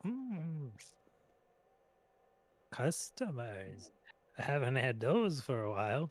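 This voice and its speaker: Putting on a character voice, a man speaks at a very slow pace with long, frequent pauses. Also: medium pitch for a man. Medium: actual play. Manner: wary, grumbling.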